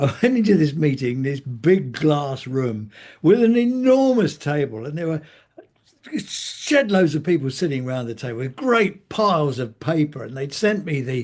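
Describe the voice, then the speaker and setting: Over a quiet background, a man with an English accent speaks at a moderate pace in a somewhat breathy, fairly high voice that swings very widely in pitch. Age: 80s+. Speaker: healthcare commentator. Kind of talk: interview.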